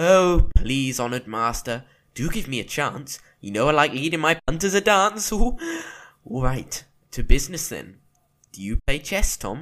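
Putting on a character voice, a man goes sing-song and playful at a fairly high pitch and a moderate pace. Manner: playful, sing-song, rhyming, cheeky.

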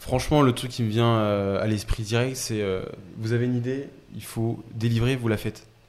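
Keeping a monotone, flat intonation, a man talks at a moderate pace and medium pitch. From Paris region, Essonne. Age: 20s. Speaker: startup co-founder. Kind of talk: casual interview chat.

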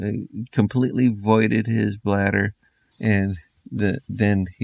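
A quiet background behind someone reading aloud in a natural voice.

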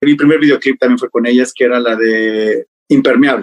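A man with a Mexico City accent at a moderate pace, lively intonation, and a dry, close sound with no echo. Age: 30s. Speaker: hairstylist. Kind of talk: interview.

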